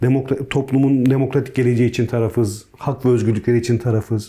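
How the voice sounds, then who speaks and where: A man's medium-pitched, somewhat breathy voice with a dark, mellow tone, at a fairly quick pace. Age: 40s. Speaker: politician, peace delegation member. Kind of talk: interview. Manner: hesitant, many fillers.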